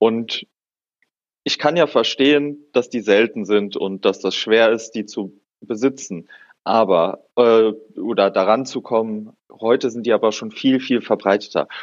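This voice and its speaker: A man with a plain, everyday voice, medium pitch, ordinary pitch variation and a fairly slow pace. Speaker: podcast co-host, hobby botanist. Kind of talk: casual chat.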